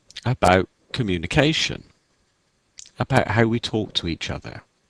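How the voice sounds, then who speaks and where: Recorded dry and close with no echo, a man speaks at a moderate pace with vocal fry. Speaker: video blogger. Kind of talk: casual vlog monologue. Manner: slightly formal, careful diction.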